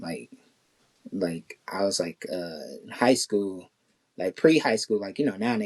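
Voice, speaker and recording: Dry and close with no echo, a man's voice is fairly low in pitch and fairly slow in pace. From Kansas City, US Midwest. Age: 30s. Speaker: artist. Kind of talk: interview conversation. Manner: casual, halting with many fillers.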